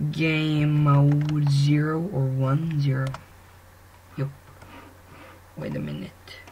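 Noticeable background noise under very slow talking broken by long, frequent pauses. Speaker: YouTuber. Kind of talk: tutorial. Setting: screen recording at home. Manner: casual, informal, filler-heavy.

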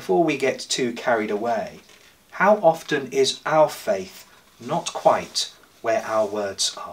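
A man's fairly high voice at a very slow pace, with very wide pitch swings. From England. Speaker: priest. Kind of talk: church sermon. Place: home room. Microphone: camera far.

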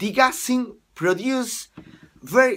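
Over a quiet background, a man uses a raised, projected voice with a bright, sharp tone at a very slow pace. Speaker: teacher. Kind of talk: lecture.

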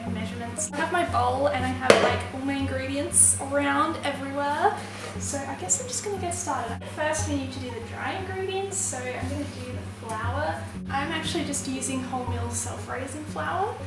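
Music plays behind a woman who speaks at a moderate pace in a room with audible echo. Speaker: baking vlogger. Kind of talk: casual vlog chat. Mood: cheerful, laughing. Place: kitchen. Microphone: camera far.

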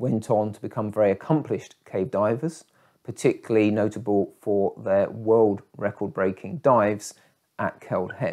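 A man speaks in a dark, mellow tone with ordinary pitch variation against a quiet background. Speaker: cave diving narrator. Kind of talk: documentary storytelling. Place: home room.

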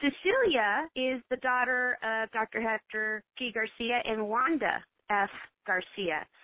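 Speaking very slowly, a woman uses a fairly high pitch and an American accent. The sound is dry with no echo, over a quiet background. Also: ordinary pitch variation. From Texas, San Angelo; Texas. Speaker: radio host; radio show host. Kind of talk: radio interview; radio talk show hosting, introductions and interview questions.

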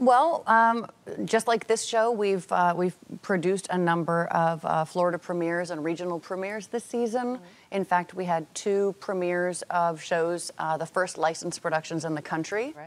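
Pitch varies in an ordinary way while the delivery holds a moderate pace. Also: woman, fairly low pitch for a woman. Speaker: guest. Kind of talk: interview answer. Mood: upbeat promotional. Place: studio.

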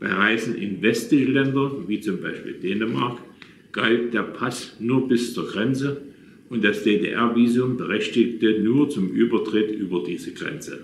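Speaking with a Saxon accent, a man goes at a fairly slow pace. Light background noise and audible room echo can be heard. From Saxony, Leipzig; Saxony. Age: 80s+. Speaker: retired businessman telling his life story; witness. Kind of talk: reading aloud a written memoir. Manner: halting, with self-corrections. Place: home room. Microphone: phone near.

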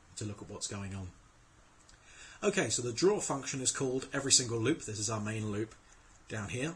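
A man's voice comes through somewhat breathy. His pitch sits in the medium range. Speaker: programmer. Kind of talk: screencast tutorial. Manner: casual.

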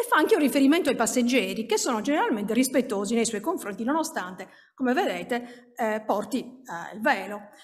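A fairly quick pace with lively intonation. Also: woman, high pitch for a woman. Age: 50s. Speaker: minority rights researcher; conference presenter. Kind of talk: conference talk. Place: hall.

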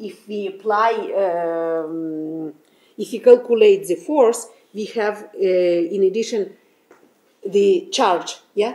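A dark, mellow voice at a very slow pace, with ordinary pitch variation and big swings in loudness. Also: woman. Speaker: physics lecturer. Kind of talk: lecture. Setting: lecture hall with audience. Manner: halting. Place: classroom. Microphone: camera far.

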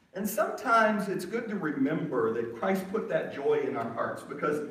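Amid audible room echo, a man's voice makes very wide pitch swings. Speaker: preacher. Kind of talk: sermon. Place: church.

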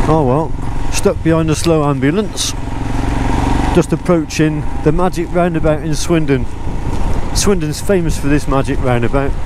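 A man speaks at a moderate pace with fairly even intonation, very even loudness and long, frequent pauses, in a dry sound with no echo but noticeable background noise. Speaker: motorcycle vlogger. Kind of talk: casual vlog chat. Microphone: helmet.

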